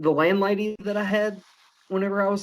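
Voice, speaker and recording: A man is speaking here. He has a strong southern Oklahoma accent. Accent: heavy southern Oklahoma. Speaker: law student and former oil field worker. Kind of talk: casual chat.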